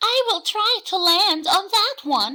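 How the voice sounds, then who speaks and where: A woman puts on a squeaky character voice, raised and projected, at a fairly slow pace. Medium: read story. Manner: eager, inquisitive.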